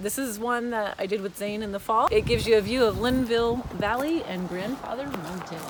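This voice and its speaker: A woman talks at a fairly quick pace with hardly any pauses and ordinary pitch variation. Noticeable background noise is present. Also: fairly high pitch for a woman. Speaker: travel vlogger. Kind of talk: casual vlog narration. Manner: loud.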